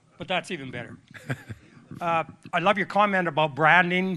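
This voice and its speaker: Here a man speaks with a Canadian accent. His intonation stays fairly even. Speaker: audience member. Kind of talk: audience question. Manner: loud.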